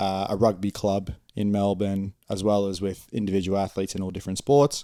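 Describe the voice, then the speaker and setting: This man has a strong Australian accent and a fairly low, dark, mellow voice. His intonation is monotone and flat, in a very clean recording with a silent background. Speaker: strength and conditioning coach. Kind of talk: podcast interview. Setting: studio.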